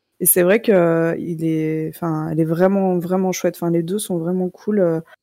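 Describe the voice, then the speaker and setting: Speaking at a fairly slow pace, a woman uses a medium pitch, fairly even intonation and a dark, mellow tone on a very clean recording with a silent background. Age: 30s. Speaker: podcaster. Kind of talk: casual chat.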